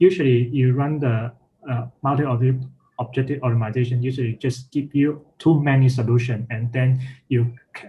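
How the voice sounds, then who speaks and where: A somewhat breathy man speaks at a moderate pace and medium pitch with fairly even intonation. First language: not English. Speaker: workshop instructor. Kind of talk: technical tutorial; explanatory talk, lecture-like. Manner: halting, many fillers. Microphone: video call.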